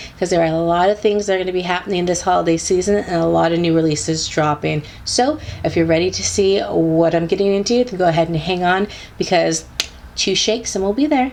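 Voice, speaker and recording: An upbeat woman with a fairly low pitch and ordinary pitch variation at a very fast pace, over noticeable background noise. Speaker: beauty YouTuber. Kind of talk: casual talk to camera.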